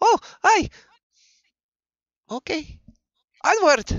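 Pitched extremely high, the voice is a put-on character.

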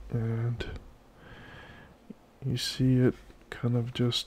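A man speaks at medium pitch in a relaxed tone. His delivery is monotone and flat, and somewhat breathy. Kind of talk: casual software walkthrough narration. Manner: casual, relaxed.

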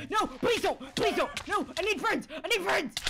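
A put-on character voice at an extremely high pitch comes through clear background noise. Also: moderate pace. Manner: desperate, pleading.

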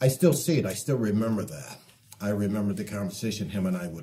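A man speaks with an American accent in a fairly low pitch. His tone is dark and mellow, with very wide swings in pitch. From Detroit, US Midwest. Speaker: artist; interviewee. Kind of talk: interview. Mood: reflective, heartfelt. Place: home room. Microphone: lapel.

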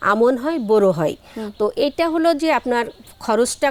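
A woman speaks at a high pitch with ordinary pitch variation. The sound is dry and close with no echo, though noticeable background noise comes through. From Bangladesh, Jessore district. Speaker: flower farmer and entrepreneur. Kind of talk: interview.

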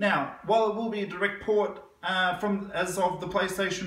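Heard with audible room echo, a man with an Australian accent speaks at a high pitch and a moderate pace. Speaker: gaming news youtuber; gaming news host. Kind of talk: casual news roundup. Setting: living room. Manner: animated. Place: home room. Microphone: camera far.

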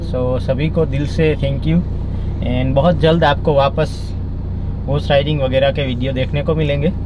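Noticeable background noise sits behind a man talking at a fairly slow pace, the sound dry with no echo. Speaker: family vlogger. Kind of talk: casual vlog chat. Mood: calm, reassuring after accident. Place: car. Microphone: phone near.

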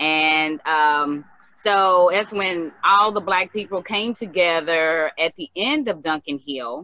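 The voice moves at a very slow pace with ordinary pitch variation. The sound is dry, with no echo. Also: woman, fairly low pitch for a woman. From Danville, Kentucky; Kentucky. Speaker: community member sharing memories. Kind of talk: casual group conversation. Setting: video call. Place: home room. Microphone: video call.

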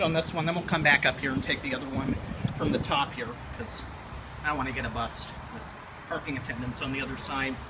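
Loud background noise fills the clip. A man talks over it at a very fast pace. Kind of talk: casual vlog commentary. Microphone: phone near.

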